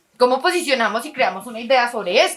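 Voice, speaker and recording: A woman with a Quindío accent talks at a very fast pace with lively intonation. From Colombia, Quindío. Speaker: workshop facilitator. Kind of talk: lecture. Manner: conversational, rhetorical questions.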